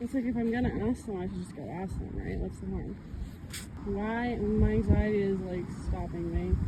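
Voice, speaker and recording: Noticeable background noise behind moderately paced speech. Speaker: vlogger. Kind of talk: casual vlog narration. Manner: loud.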